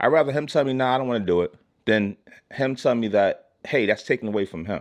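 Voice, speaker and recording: A man's very fast, lively-intoned speech in a New York accent. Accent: New York City English. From Brooklyn, New York City. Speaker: YouTube creator. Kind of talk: casual vlog monologue. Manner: halting, repetitive.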